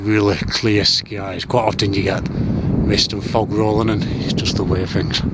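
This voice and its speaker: Over noticeable background noise, a man speaks at a moderate pace with a fairly low pitch. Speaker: outdoor skywatching vlogger. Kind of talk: solo outdoor vlog narration. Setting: outdoors on hilltop moorland at night. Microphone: camera's built-in audio.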